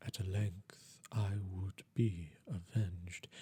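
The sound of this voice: Speaking slowly with a low pitch, the man has a dark, mellow tone, a husky, rough edge and fairly even intonation.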